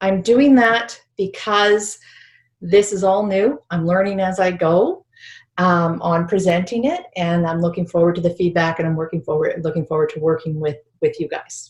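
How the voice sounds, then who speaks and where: Somewhat breathy, a woman speaks in a medium pitch. She talks with a Canadian accent. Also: ordinary pitch variation, moderate pace. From British Columbia, Canada. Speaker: spiritual healing teacher. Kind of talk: online workshop presentation.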